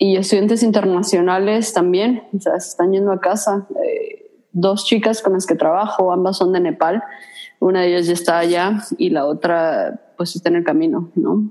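A woman's medium-pitched, dark and mellow voice at a moderate pace, with ordinary pitch variation. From Mexico. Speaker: podcast co-host, student. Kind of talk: casual chat.

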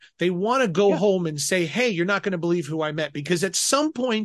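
Against a quiet background, a man speaks in a high pitch with an American accent. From Colorado. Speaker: film festival technical director and filmmaker. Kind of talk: casual interview.

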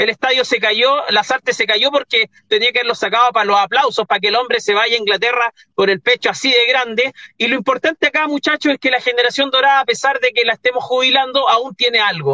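Talking at a very fast pace, a man holds very even loudness. His pitch is extremely high, with ordinary variation. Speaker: football pundit. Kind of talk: casual chat.

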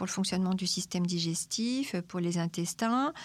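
In a very clean recording with a silent background, a woman speaks at a medium pitch, somewhat breathy. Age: 50s. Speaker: nutritionist. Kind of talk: expert interview answering questions.

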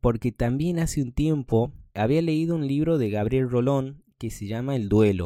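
At a fairly slow pace, a man with a dark, mellow tone speaks at medium pitch with ordinary pitch variation. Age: 30s. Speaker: podcast host. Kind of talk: casual monologue.

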